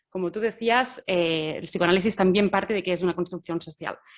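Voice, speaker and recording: A woman with a Catalan accent, fairly even intonation and a moderate pace. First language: Catalan (speaking Spanish). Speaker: gender researcher. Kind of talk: academic talk. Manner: halting, many fillers.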